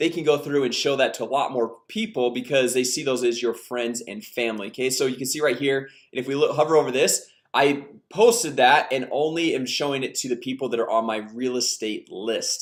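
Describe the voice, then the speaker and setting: In an energetic tone, a man talks at a fairly quick pace with a medium pitch and ordinary pitch variation. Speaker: online marketing coach. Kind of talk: screen-share tutorial. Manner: fast; casual, energetic.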